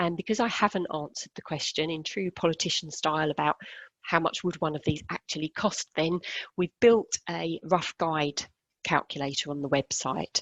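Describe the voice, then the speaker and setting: A woman with a British accent speaks at a moderate pace in a very deep, low pitch. The sound is dry and close, with no echo. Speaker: care funding adviser. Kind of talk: webinar presentation.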